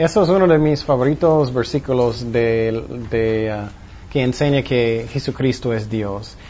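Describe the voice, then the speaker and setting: Speaking at a very slow pace, a man with a medium-pitched, somewhat breathy voice uses lively intonation. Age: 40s. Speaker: pastor. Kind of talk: Bible study teaching. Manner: halting.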